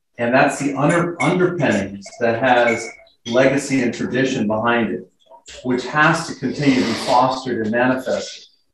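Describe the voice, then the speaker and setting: Here a man talks with an American accent at a medium pitch. The recording carries audible room echo. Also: ordinary pitch variation, moderate pace. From Southern California (Riverside, San Bernardino). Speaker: Navy reservist and club member. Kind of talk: club talk about own life. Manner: halting, many fillers and repeats.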